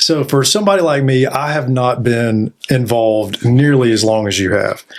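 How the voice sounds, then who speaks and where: The man's voice sits at a medium pitch, with noticeable background noise around it. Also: ordinary pitch variation, moderate pace. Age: young. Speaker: podcast host. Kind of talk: interview.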